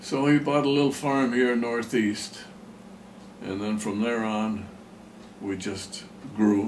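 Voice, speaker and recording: A man talks at a very slow pace with long, frequent pauses. Room echo is audible. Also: medium pitch for a man, ordinary pitch variation. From Pennsylvania, US. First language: German. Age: 90s. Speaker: farmer. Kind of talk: oral history interview. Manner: halting.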